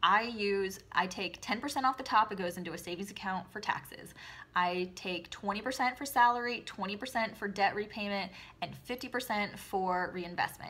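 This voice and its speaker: A woman speaks at a medium pitch with ordinary pitch variation. Her tone is bright and sharp. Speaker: direct sales consultant and video host. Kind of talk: casual advice talk to camera. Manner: fast; perky, upbeat.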